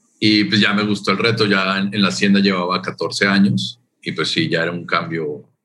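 A man speaks at a moderate pace with a fairly low pitch. He has a plain, everyday voice. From Colombia. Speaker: tourism official. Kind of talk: interview.

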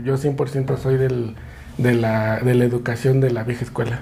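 With a Mexico City accent, a man speaks over noticeable background noise. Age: 30s. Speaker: podcaster and father. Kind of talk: casual chat.

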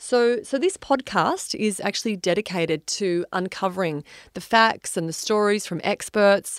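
In an Australian accent, a woman talks at a medium pitch with ordinary pitch variation, her sound dry and close with no echo on a very clean recording with a silent background. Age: 40s. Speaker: wellness podcast host. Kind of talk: solo podcast monologue.

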